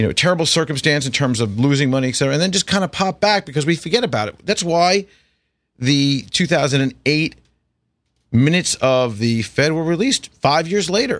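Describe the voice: A man's fairly high, fairly bright voice with an American accent, lively intonation and a fairly quick pace, in a very clean recording with a silent background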